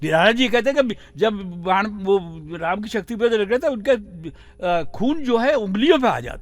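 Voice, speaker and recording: Here a man talks at a moderate pace with a high pitch, lively intonation and big swings in loudness. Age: 80s+. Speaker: writer. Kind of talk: interview. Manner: measured, reflective.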